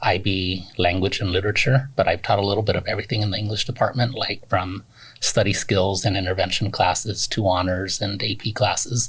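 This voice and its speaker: Recorded very cleanly against a silent background, a man with a Spanish accent and fairly low pitch talks at a moderate pace with fairly even intonation. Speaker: teacher. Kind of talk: interview.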